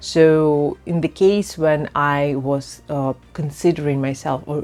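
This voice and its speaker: A woman with a non-native accent speaks at a very deep, low pitch, her intonation fairly even. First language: not English. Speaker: personal branding coach. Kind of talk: casual vlog. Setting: outdoors in a park.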